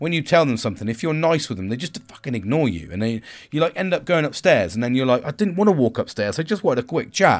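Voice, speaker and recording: A man with a British accent talks very fast at a fairly high pitch, with hardly any pauses. His pitch swings very widely, and his voice has vocal fry. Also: very clean recording, silent background. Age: 40s. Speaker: podcaster. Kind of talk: solo monologue on self-care and reflection. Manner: commanding; casual, rambling, with filler words.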